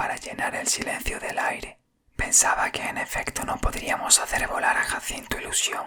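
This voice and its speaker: Whispering throughout. The pace is moderate. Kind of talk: whispered audiobook reading of a story. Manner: whispered.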